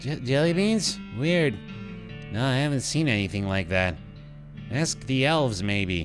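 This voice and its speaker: Over clear background music, a put-on character voice speaks at a fairly slow pace with a low-to-middle pitch. Long pauses come often. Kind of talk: comic stoner drawl. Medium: game stream. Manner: slow, vague, drifting.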